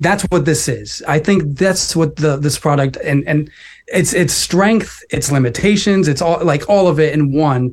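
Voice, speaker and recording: A man speaks fairly slowly in a normal speaking voice. His pitch is fairly high, with ordinary pitch variation. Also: very even loudness. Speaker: tech writer. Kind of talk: casual chat.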